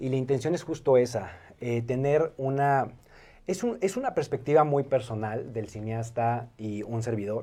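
A man's dark, mellow tone at medium pitch, fairly slow, with ordinary pitch variation. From Mexico City. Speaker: video artist. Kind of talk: casual chat.

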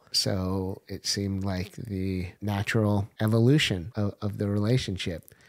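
A man's fairly low voice with an American accent, fairly slow with hardly any pauses and fairly even intonation, on a very clean recording with a silent background. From US Pacific Northwest, Portland. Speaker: entrepreneur. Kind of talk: casual chat.

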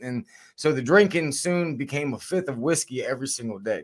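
A man with an American accent and an unremarkable speaking voice talks at a moderate pace and a fairly high pitch, with ordinary pitch variation, on a very clean recording with a silent background. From Virginia, Shenandoah Valley. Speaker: retired army sniper and instructor. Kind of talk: interview testimony.

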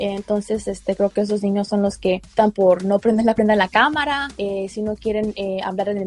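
The voice moves at a moderate pace, with a dry, close sound with no echo. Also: woman. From Mexico. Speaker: school paraeducator. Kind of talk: interview. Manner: hesitant.

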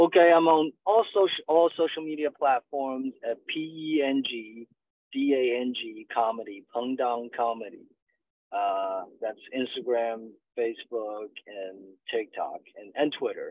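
Speaking at a fairly slow pace with a Chinese accent, a man's medium-pitched voice carries lively intonation and big swings in loudness. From China. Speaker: stand-up comedian. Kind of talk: interview. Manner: halting, many fillers.

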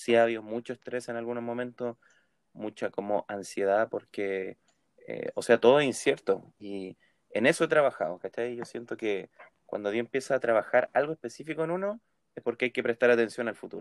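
Speaking fairly quickly, a man uses a medium pitch with ordinary pitch variation and big swings in loudness. The sound is dry and close, with no echo. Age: 20s. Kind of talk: casual chat.

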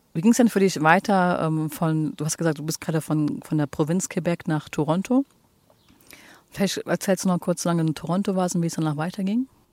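Recorded very cleanly against a silent background with a dry, close sound and no echo, a woman speaks at a moderate pace in a fairly low pitch, with ordinary pitch variation and long, frequent pauses. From Germany, Cologne. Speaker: podcast host. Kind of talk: interview. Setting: outdoors on a bench.

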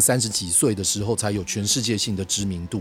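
Music plays behind a man speaking at a very fast pace. His pitch is fairly low. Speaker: podcast host on bass and music. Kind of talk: solo podcast monologue.

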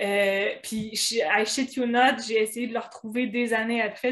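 Delivered in a Quebec accent, the speech has a monotone, flat intonation. The pace is fairly slow. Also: woman. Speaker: blogger. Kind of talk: casual chat.

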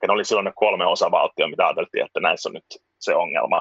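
The man talks at a fairly quick pace, and the sound is dry and close with no echo. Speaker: musician and former journalist. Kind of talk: casual interview chat. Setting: video call from home (children's room).

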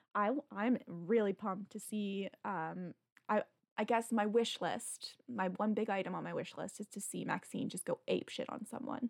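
Her voice sits at a medium pitch with vocal fry and ordinary pitch variation as this woman talks at a moderate pace, the sound dry and close with no echo. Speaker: magazine editor, podcast host. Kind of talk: casual interview chat.

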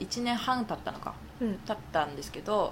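Her voice has a medium pitch. The speaker is a woman. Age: 20s. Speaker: podcast co-host. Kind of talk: casual chat.

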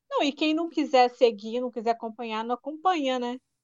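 Woman with a Paraíba accent, high-pitched, at a moderate pace and with ordinary pitch variation. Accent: Paraíba (northeastern Brazilian). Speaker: podcast co-host. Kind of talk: casual chat.

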